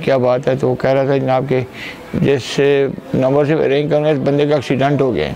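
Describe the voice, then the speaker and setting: Crowd noise fills the background. Over it, a man speaks in a flat, monotone way. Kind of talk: interview answer. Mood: somber, recounting son's death. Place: home room.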